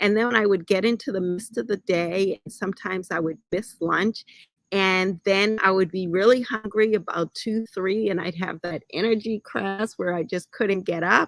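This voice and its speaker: A woman speaks in an ordinary speaking voice at medium pitch and a moderate pace, with fairly even intonation and hardly any pauses, in a dry, close sound with no echo. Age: 60s. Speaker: health and wellness show host. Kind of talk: personal story talk to viewers. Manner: conversational, addresses audience directly.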